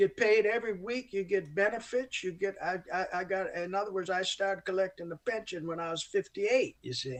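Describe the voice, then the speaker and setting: Speaking at a fairly quick pace in an American accent, a man uses a high pitch with ordinary pitch variation. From upstate New York (Olean). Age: 70s. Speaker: jazz saxophonist. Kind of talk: interview. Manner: halting, many restarts; talkative.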